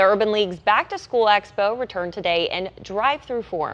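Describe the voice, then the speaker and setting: A woman with an American accent and an unremarkable speaking voice, medium pitch, ordinary pitch variation and a fairly quick pace, over a quiet background. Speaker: TV news anchor and reporter. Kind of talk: anchor-style news read.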